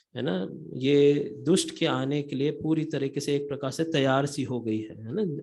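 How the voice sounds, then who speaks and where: In a non-native accent, a man speaks at a fairly high pitch. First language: not Hindi (speaking Hindi). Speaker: lay preacher. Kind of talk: sermon. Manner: halting, many fillers.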